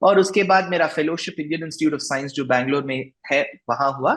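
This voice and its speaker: The pace is moderate. Pitch variation is ordinary. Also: man. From South India, Bengaluru. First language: Tamil (speaking Hindi). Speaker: religious discourse speaker and author. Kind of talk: interview. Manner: halting, many fillers.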